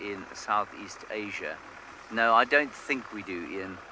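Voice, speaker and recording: Medium-pitched male voice at a very slow pace, with fairly even intonation and noticeable background noise. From South Africa. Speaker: safari guide. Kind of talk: live commentary. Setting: outdoors.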